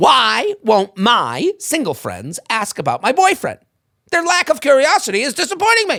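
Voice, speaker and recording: A man does a whiny put-on character voice at an extremely high pitch, speaking at a moderate pace. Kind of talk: complaining. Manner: whiny, grating.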